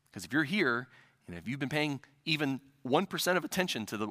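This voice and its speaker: Medium-pitched man with a Midwestern US accent, a bright, sharp tone and very wide pitch swings, in a very clean, dry, close recording with a silent background and no echo. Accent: Midwestern US, general American. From US Midwest. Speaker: preacher. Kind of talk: sermon. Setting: church. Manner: hesitant, with frequent fillers.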